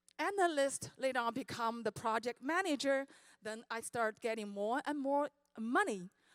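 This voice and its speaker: Lively intonation, dry and close with no echo, on a very clean recording with a silent background. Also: woman. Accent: Chinese. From China. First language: Chinese. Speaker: network marketing speaker. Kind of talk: motivational speech.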